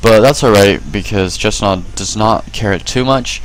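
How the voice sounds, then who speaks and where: Here a man speaks with a fairly low pitch and ordinary pitch variation. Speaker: gaming video commentator. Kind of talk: game replay commentary. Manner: fast.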